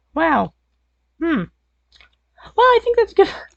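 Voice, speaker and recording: The voice is a put-on character voice. It sounds squeaky. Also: woman, extremely high pitch for a woman. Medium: machinima. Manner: casual, chatty.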